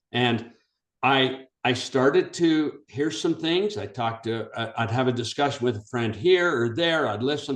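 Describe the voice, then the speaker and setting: Fairly slow delivery with ordinary pitch variation. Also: man, medium pitch for a man. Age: 60s. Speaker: blockchain founding member. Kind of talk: community video call.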